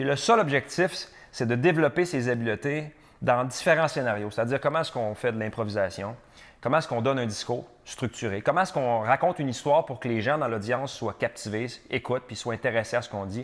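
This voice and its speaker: A man rattles along at a very fast pace, his medium pitch showing ordinary variation. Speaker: real estate broker and podcaster. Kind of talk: solo podcast talk with advice. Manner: animated, theatrical.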